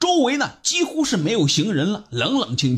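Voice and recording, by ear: A natural voice is heard. It is reading aloud.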